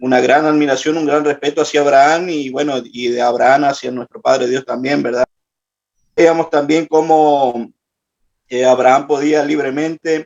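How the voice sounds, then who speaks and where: Fairly high male speech with fairly even intonation, delivered at a moderate pace. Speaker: participant in prayer class. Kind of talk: group report in online class. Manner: halting, many fillers.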